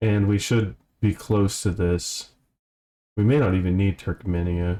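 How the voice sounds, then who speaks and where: A man's fairly low voice, dark and mellow in tone, at a fairly slow pace with very even loudness and ordinary pitch variation, on a very clean recording with a silent background. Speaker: gaming video creator. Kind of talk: let's play commentary. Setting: home room recording. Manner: casual, halting with fillers.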